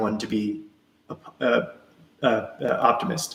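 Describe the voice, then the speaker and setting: A man's voice with very wide pitch swings. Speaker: author and live stream host. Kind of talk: live stream Q&A. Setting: live stream. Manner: fast; casual, hesitant with fillers.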